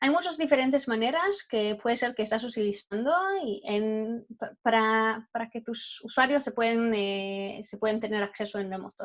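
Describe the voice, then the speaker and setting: Speaking fairly slowly, a woman talks in a non-native accent. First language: not Spanish (speaking Spanish). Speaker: cybersecurity product manager. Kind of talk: webinar presentation. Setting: online webinar. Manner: halting, many fillers and restarts.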